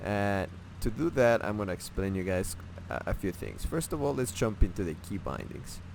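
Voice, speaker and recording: A man with a non-native accent speaks at a moderate pace in a very deep, low voice with lively intonation. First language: not English. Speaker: gaming tutorial creator. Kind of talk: tutorial. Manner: halting, many fillers and restarts; casual.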